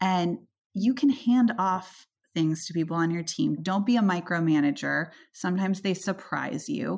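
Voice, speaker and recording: A woman's ordinary speaking voice, medium in pitch, with lively intonation at a moderate pace. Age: 30s. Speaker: venture capitalist. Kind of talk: interview.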